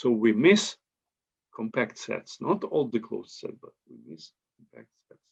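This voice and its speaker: Lively intonation marks this man's medium-pitched voice in a Ukrainian accent. He speaks at a fairly slow pace. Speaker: mathematician. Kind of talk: conference talk. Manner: halting.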